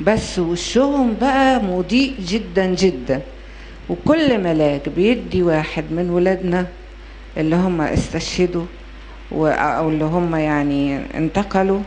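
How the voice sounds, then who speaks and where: At a very slow pace, a woman talks with a fairly low pitch over light background noise. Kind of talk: storytelling to an audience. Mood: gentle, consoling. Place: hall. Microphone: handheld.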